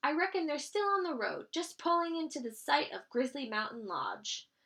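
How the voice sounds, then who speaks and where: This speaker is a woman using a put-on character voice. She pitches it high. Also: moderate pace. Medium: read story.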